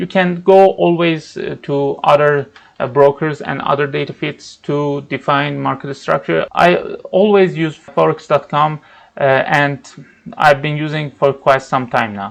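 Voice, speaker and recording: Pitched fairly high, a man speaks at a fairly slow pace. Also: ordinary pitch variation. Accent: non-native. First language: not English. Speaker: trading educator. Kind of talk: tutorial. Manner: halting, with fillers.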